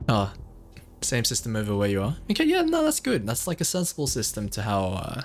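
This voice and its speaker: The pace is fairly quick. The speaker is a man with an Australian accent. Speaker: video game streamer. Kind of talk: live gameplay commentary. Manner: casual, hesitant with fillers.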